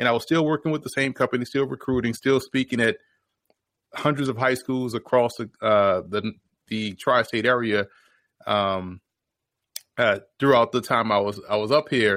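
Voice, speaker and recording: A man with an American accent speaks at a moderate pace and medium pitch, with ordinary pitch variation, long, frequent pauses, and a dry, close sound with no echo. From New Orleans, Louisiana. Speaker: football analyst and former player. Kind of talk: podcast interview.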